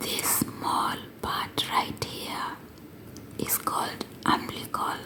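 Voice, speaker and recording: Very slow whispering over noticeable background noise. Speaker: English teacher for learners. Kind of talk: educational ASMR lesson for English learners. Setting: close-mic with writing sounds. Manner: whispered, slow, clear.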